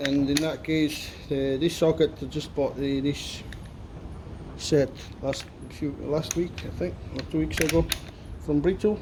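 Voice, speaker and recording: With noticeable background noise, the speech comes at a fairly slow pace with long, frequent pauses and ordinary pitch variation. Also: man, fairly high pitch for a man. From Italy, near Salerno. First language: Italian. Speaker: mechanic. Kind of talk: tutorial. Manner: casual.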